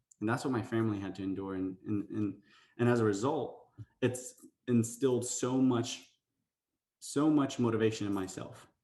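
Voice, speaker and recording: A man's medium-pitched voice with a dark, mellow tone and ordinary pitch variation, at a fairly quick pace. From United States. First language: Spanish and Arabic. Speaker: motivational speaker. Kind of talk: motivational talk. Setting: virtual event.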